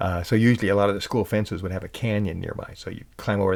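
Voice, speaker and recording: Soft-spoken and with an American accent, the speaker talks at a very fast pace in a monotone, flat intonation. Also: man. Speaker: podcast host and musician. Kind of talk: casual storytelling monologue. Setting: home recording at night. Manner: halting.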